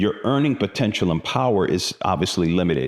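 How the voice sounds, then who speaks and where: The speaker is a man. His intonation is lively. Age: 60s. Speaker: finance video host. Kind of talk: solo talk on personal finance. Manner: casual, conversational with fillers.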